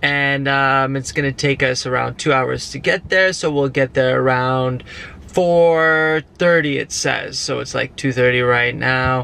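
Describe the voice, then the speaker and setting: Here a man speaks at a fairly slow pace with fairly even intonation. The recording sounds dry, without echo. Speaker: vlogger. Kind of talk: casual vlog chat. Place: car. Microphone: phone near.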